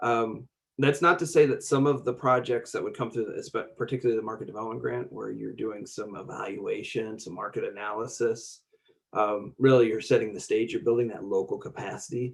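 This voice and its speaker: His loudness rises and falls in big swings. This man talks at a fairly quick pace. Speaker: state grant program official. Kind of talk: conference webinar presentation. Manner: fast; halting, many fillers.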